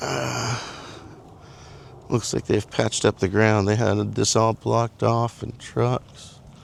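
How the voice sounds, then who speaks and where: Speech comes at a very slow pace with long, frequent pauses and lively intonation. Noticeable background noise runs underneath. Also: man, fairly low pitch for a man. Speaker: vlogger. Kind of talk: casual walk-and-talk vlog. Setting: outdoors walking on a trail. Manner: mumbling.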